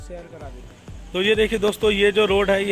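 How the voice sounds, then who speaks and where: Clear background music under a man's dry, echo-free voice. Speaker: vlogger showing family shops. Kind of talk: casual vlog chat. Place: street. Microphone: phone near.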